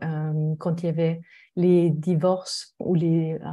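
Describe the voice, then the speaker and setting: Very slow in pace, a woman with a slight German accent speaks at a fairly low pitch on a very clean recording with a silent background. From Germany. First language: German (speaking French). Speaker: mediator. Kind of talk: podcast interview.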